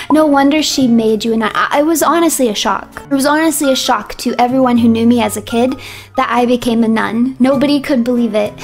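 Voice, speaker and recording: A high-pitched woman talks at a fairly quick pace with very even loudness and ordinary pitch variation, music playing in the background. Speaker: vtuber streamer. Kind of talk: casual chat with stream audience. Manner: occasional slurring and stumbling over words.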